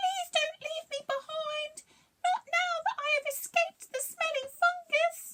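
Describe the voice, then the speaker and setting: A squeaky, put-on character voice at an extremely high pitch, fairly slow, with very wide pitch swings. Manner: pleading.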